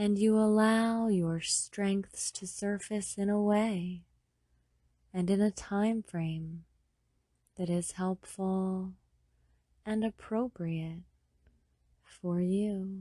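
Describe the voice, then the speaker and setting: Speaking very slowly in a dark, mellow tone, a woman holds a medium pitch and a monotone, flat intonation, with long, frequent pauses. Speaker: hypnotherapist. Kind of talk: sleep hypnosis. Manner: slow, soft-spoken.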